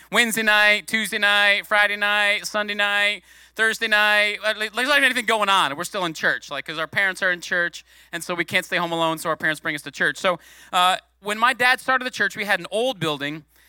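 In a very clean recording with a silent background, a man's raised, projected voice has a high pitch and bright, sharp tone, moving at a fairly quick pace with ordinary pitch variation and a dry, close sound with no echo. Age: 40s. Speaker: guest preacher, former youth pastor. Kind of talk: sermon. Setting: church. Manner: animated.

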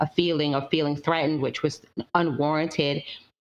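A woman speaks at a fairly quick pace in a very deep, low pitch. Her intonation is monotone and flat. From London, then Fort Lauderdale, Florida. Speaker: university professor. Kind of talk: interview conversation.

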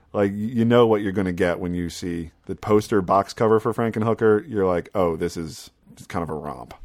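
In a plain, everyday voice, a man with a fairly low pitch and ordinary pitch variation talks at a fairly quick pace with hardly any pauses and big swings in loudness. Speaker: podcast host. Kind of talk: casual chat.

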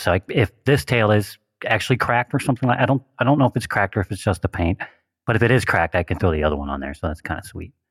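Speaking very fast, a man is heard in a dry, close recording with no echo that is very clean, with a silent background. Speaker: RC helicopter hobbyist podcast co-host. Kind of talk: casual chat.

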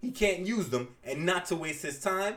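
Reading comes in an unforced reading voice.

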